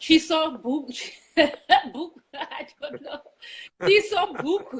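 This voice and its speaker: A woman's extremely high-pitched voice at a very slow pace, with big swings in loudness. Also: lively intonation. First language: Shona. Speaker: online show co-host. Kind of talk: casual chat. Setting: Facebook Live stream.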